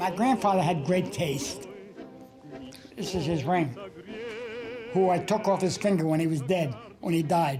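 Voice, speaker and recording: A man with a New York accent and a high voice at a moderate pace, with audible room echo and noticeable background noise. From New York City (Brooklyn). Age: 80s+. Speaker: cartoonist. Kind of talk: documentary interview.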